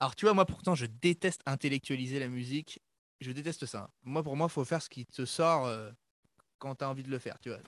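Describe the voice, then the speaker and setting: With an ordinary speaking voice, a man talks at a fairly quick pace and fairly high pitch with ordinary pitch variation, recorded very cleanly with a silent background and a dry, close sound with no echo. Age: 20s. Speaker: pop-punk musician. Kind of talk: casual chat.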